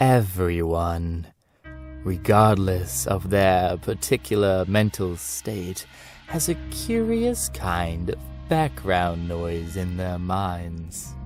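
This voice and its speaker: A man does a put-on character voice with a very deep, low pitch. He goes at a very slow pace over faint background music. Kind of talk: horror narration. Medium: read story. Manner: slow, measured, ominous.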